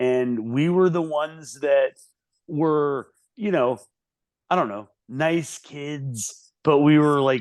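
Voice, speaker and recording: A man speaks very slowly in an American accent, his pitch fairly high with ordinary variation. The background is quiet. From US South. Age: 40s. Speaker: musician. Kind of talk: casual chat.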